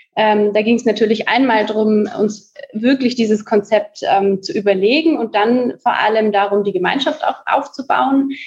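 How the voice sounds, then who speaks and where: A woman with an unremarkable speaking voice and fairly high pitch talks at a moderate pace. She barely pauses, with ordinary pitch variation. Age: 20s. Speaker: coworking space co-founder. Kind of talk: podcast interview.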